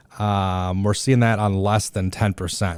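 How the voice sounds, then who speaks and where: The recording is very clean, with a silent background. A man speaks in a fairly low pitch. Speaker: real estate agent. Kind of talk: casual market update monologue. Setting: podcast studio. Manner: fast; hesitant, many fillers. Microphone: new good studio mics.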